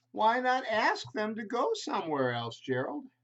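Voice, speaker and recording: Using a put-on character voice, a man talks at a moderate pace in a high pitch. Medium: read story. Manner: bright, cheerful.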